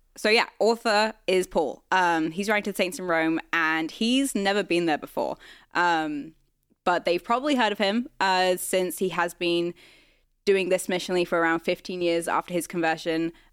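A woman with a British accent at a moderate pace, medium-pitched with ordinary pitch variation and very even loudness, in a very clean recording with a silent background. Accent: British-sounding accent, noticeable. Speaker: church staff, podcast co-host. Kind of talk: casual Bible study discussion.

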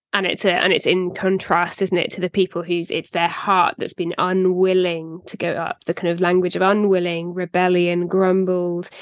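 Speaking at a moderate pace in a British accent, a woman keeps a monotone, flat intonation on a dry, close recording with no echo. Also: medium pitch for a woman, hardly any pauses. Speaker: podcast co-host. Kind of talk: casual Bible discussion.

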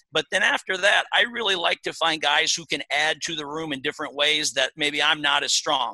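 A voice with fairly even intonation and a bright, sharp tone, recorded with a dry, close sound and no echo. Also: man. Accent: Midwestern US. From Iowa. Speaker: college wrestling coach. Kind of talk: interview.

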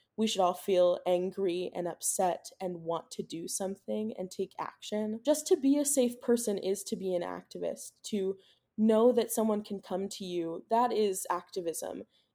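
With an American accent and a dark, mellow tone, a woman talks at a moderate pace with hardly any pauses and ordinary pitch variation, on a very clean recording with a silent background. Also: medium pitch for a woman. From US Midwest, Cincinnati area, Ohio. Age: 20s. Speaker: college student. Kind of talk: interview.

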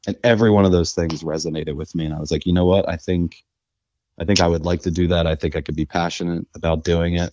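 The speech comes at a very fast pace with an American accent and a dark, mellow tone. Intonation is monotone and flat, and the sound is dry and close with no echo. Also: man, very deep, low pitch for a man. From US Northeast, Philadelphia. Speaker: financial services executive. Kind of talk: interview.

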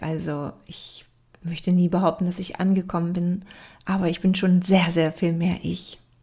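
A woman with a somewhat breathy, dark and mellow tone speaks at medium pitch and a fairly slow pace, her intonation fairly even. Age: 30s. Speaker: podcast host, yoga teacher and life coach. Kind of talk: solo podcast introduction.

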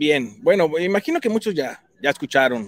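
There is a man speaking at a moderate pace. The sound is dry and close, without echo. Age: 40s. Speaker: tech speaker for realtors. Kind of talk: tutorial.

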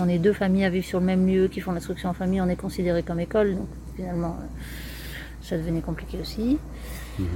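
Here a woman talks at a fairly quick pace and medium pitch. Her intonation stays monotone and flat. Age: 40s. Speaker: eco-tourism project founder. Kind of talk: interview. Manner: hesitant.

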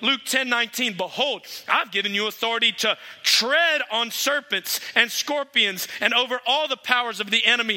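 A raised, projected voice at a moderate pace, with ordinary pitch variation. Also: man. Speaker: guest preacher. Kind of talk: sermon. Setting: church.

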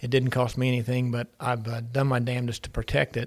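A man speaks in a monotone with flat intonation and an Appalachian accent. His pitch is medium, and his pace is fairly quick. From Ironton, Ohio, Appalachia. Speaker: podcast host, entrepreneur. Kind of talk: casual interview. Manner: halting, many fillers and repeats.

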